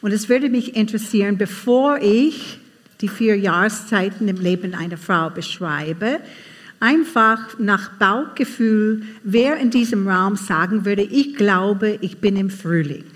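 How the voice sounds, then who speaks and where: With an English accent, a woman speaks somewhat breathily at a fairly slow pace, her medium pitch showing ordinary variation. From USA. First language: English (speaking German). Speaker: conference speaker. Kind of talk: talk to a live audience.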